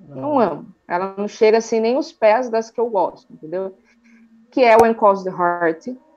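A woman speaks in a normal speaking voice at a fairly high pitch and moderate pace, with lively intonation and big swings in loudness. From Sorocaba, interior of São Paulo, Brazil. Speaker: YouTuber, TV series reviewer. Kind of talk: casual interview chat.

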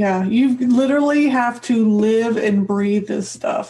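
Against noticeable background noise, a woman with a fairly high pitch talks at a moderate pace with ordinary pitch variation. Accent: American. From US Midwest. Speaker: podcast host. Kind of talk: interview.

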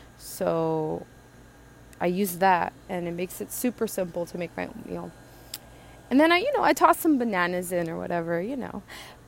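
In an American accent, a woman talks with big swings in loudness and long, frequent pauses over noticeable background noise. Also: moderate pace. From Southern California. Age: 20s. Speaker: podcaster and painter. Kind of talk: casual solo monologue. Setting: outdoors in backyard.

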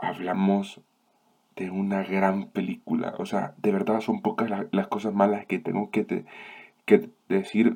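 A man speaks in a fairly low pitch with a dark, mellow tone and monotone, flat intonation. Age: 20s. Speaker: film review podcast host. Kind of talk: solo film review monologue. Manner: halting.

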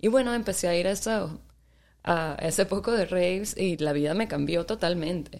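A woman with a plain, everyday voice, fairly low in pitch, at a fairly quick pace with ordinary pitch variation. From Venezuela, Maracaibo and Caracas. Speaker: DJ and photographer. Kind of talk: casual interview.

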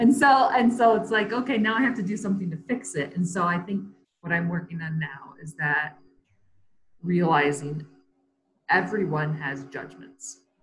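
Somewhat breathy, a woman with an American accent speaks at a fairly low pitch. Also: lively intonation, moderate pace. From US Midwest (west Michigan, near Grand Rapids). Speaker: photographer and former teacher. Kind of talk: casual interview chat. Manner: halting.

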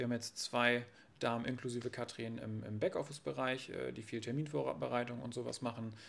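Speaking fairly quickly, a man has an ordinary speaking voice at a medium pitch, with ordinary pitch variation. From northern Germany, Friesland coast. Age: 20s. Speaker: real estate agent. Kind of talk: casual interview.

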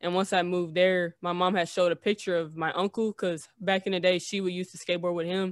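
A woman with an American accent talks at a very fast pace with hardly any pauses, in a fairly low pitch and monotone, flat intonation. The sound is dry and close, with no echo. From US South, Tennessee. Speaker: skateboarder. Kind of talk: interview.

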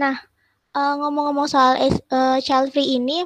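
A woman speaks in a high pitch. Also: dry, close sound with no echo. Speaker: podcast moderator. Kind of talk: casual discussion.

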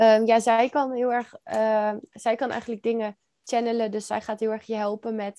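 In a dry, close recording with no echo and a quiet background, a woman with a fairly high pitch and a dark, mellow tone speaks in a flat monotone. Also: moderate pace. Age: 20s. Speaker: NLP coach. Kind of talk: casual interview chat.

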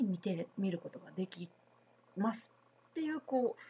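A woman's dark, mellow, somewhat breathy voice at a moderate pace with lively intonation. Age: 40s. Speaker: spiritual consultant and podcast host. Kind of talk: solo podcast talk. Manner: casual, many filler words.

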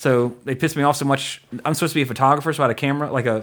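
This man's tone is animated and his pitch sits fairly high. He talks at a very fast pace. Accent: Louisiana. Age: 30s. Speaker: podcast host. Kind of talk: casual chat, podcast discussion. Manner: animated, jokey.

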